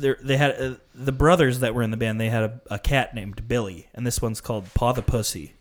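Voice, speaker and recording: This man talks at a fairly quick pace with an American accent and medium pitch. He has an unremarkable speaking voice with ordinary pitch variation. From northern Illinois. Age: 20s. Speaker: podcast host. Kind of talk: casual chat.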